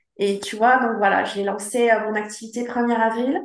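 A woman at a fairly high pitch speaks at a fairly slow pace with ordinary pitch variation amid audible room echo. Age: 50s. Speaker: travel planner. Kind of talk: interview. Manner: halting.

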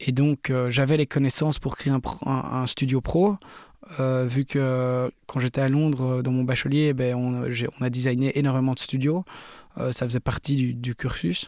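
The speech has fairly even intonation at a fairly slow pace. The sound is dry and close, with no echo. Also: man, medium pitch for a man. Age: 20s. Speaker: DJ and music producer. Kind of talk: interview. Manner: halting.

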